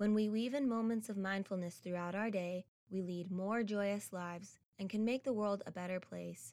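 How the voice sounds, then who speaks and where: In a plain, everyday voice, a woman speaks at medium pitch with ordinary pitch variation. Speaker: meditation guide. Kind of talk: guided meditation. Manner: slow, soothing, calm; gentle, with long pauses.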